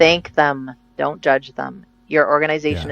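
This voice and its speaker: Speaking very slowly in a very deep, low pitch, a woman with a Canadian accent is heard in a dry, close sound with no echo. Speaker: interview guest.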